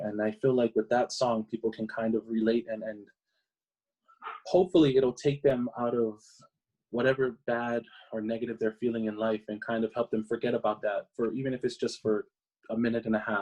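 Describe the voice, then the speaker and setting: A man with a Hawaiian accent talks at a fairly quick pace in a medium pitch with fairly even intonation. His tone is dark and mellow, and the sound is dry and close with no echo. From Hawaii (Maui, Oahu). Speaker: singer. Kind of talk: interview answer.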